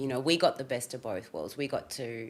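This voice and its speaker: Speaking in an Australian accent, a woman with a very deep, low pitch talks at a fairly slow pace with fairly even intonation. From Australia, Sydney (Fairfield, western suburbs). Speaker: rapper, stylist and hotelier. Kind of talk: casual chat.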